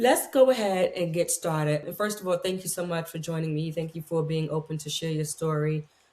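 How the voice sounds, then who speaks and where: At a fairly quick pace with hardly any pauses, a woman speaks in a somewhat breathy, fairly low voice with ordinary pitch variation. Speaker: podcast host. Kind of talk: interview.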